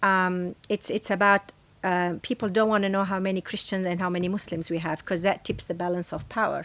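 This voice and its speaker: Over a silent background in a very clean recording, a woman speaks fairly quickly at medium pitch, with flat, monotone intonation and an Arabic accent. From Lebanon. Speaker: professor. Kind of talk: interview.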